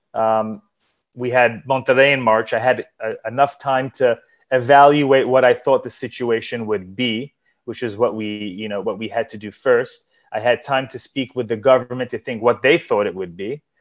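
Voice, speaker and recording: Speaking at a moderate pace with a New York accent, a man at medium pitch keeps his intonation fairly even while his loudness swings widely against a quiet background. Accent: New York American English. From US Northeast, New York. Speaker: sports event organizer and entrepreneur. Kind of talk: interview.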